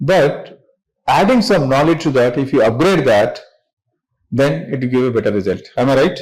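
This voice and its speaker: In an audible room echo, someone with an Indian accent speaks at a moderate pace, pitch swinging very widely, with long, frequent pauses. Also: man. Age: 60s. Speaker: business founder and chairman. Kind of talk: motivational talk to students. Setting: classroom with students.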